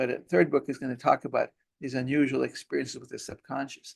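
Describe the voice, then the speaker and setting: A man with vocal fry talks at a very fast pace at a medium pitch, in a dry, close sound with no echo. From Israel. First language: Hebrew. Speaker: pediatrician and hypnosis specialist. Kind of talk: interview.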